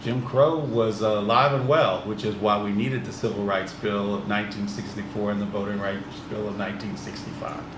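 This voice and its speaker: Over noticeable background noise and audible room echo, a man with an American accent speaks at a fairly quick pace in a fairly low voice, with fairly even intonation and hardly any pauses. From US Midwest, East St. Louis, Illinois. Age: 60s. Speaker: business owner. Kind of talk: podcast interview.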